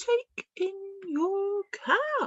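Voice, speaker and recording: This put-on character voice is squeaky, with lively intonation. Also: woman. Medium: read story.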